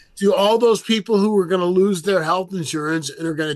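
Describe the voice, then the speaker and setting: Speaking with an American accent, a man has a high pitch. His pitch variation is ordinary. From San Francisco Bay Area. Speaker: podcast host and comedian. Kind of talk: casual chat. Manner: halting.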